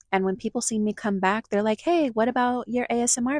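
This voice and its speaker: With music in the background, a woman speaks with lively intonation in a dry, close sound with no echo. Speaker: vlogger living in a van. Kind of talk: casual vlog monologue.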